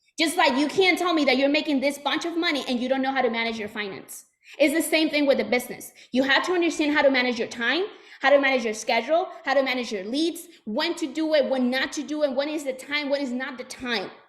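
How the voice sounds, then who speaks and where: A woman with a Puerto Rican accent, high-pitched, at a very fast pace with ordinary pitch variation. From Puerto Rico. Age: 20s. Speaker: sales trainer. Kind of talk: motivational talk. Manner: animated.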